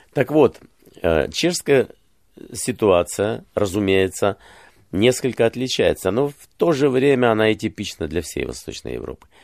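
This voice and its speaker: A fairly slow delivery with lively intonation, vocal fry and long, frequent pauses, recorded very clean with a silent background and a dry, close sound with no echo. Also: man, medium pitch for a man. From Ukraine, Kyiv. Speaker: journalist and political commentator. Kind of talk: interview.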